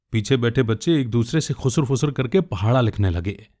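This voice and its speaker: A man speaks at medium pitch with lively intonation and a somewhat breathy quality. The recording is very clean, with a silent background. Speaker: radio jockey and storyteller. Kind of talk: short story narration (audio storytelling podcast).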